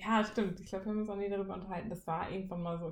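Here a woman talks. There is a somewhat breathy quality to her speech. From Siegen, western Germany. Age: 20s. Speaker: trainee teacher, podcast co-host. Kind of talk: casual chat.

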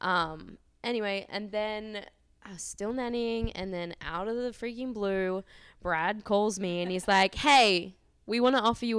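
In a very clean recording with a silent background, a woman with an Australian accent speaks fairly slowly at a fairly high pitch, with ordinary pitch variation and big swings in loudness. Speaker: model booker. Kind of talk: casual interview. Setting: in person, downtown.

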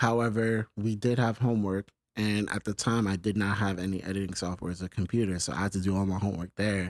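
Very fast, monotone, flat speech with a New York accent, a very clean recording on a silent background, dry and close with no echo. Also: man, fairly low pitch for a man. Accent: New York City. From New York City, the Bronx (Longwood). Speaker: filmmaker and production company owner. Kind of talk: interview.

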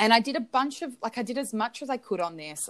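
On a very clean recording with a silent background, a woman with a fairly high pitch and vocal fry swings her pitch very widely. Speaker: podcast co-host. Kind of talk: casual chat. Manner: animated.

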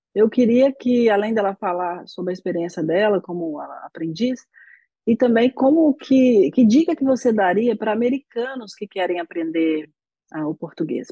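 At a moderate pace, a woman speaks with lively intonation in a fairly high, dark and mellow voice, the sound dry and close with no echo. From Brazil. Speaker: podcast host, Portuguese teacher. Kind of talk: interview.

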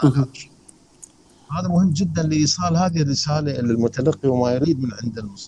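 A man with a medium-pitched voice speaks over noticeable background noise. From Iraq, Karbala. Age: 60s. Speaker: photographer, photography society president. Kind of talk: interview. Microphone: choppy audio connection.

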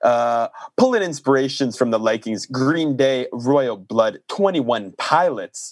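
A man speaks at a fairly slow pace, his voice dry and close with no echo. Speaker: podcast host and music reviewer. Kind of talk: casual chat, music review podcast. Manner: animated, playful banter.

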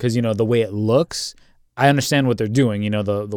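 In a very clean recording with a silent background, a man with a normal speaking voice talks in a fairly low pitch and fairly even intonation. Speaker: podcast co-host. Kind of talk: casual chat.

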